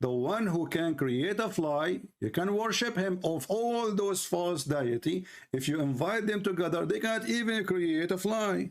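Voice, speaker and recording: A man with an Arabic accent, high in pitch, with lively intonation, a fairly slow pace, and very even loudness. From Middle East. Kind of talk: live debate argument.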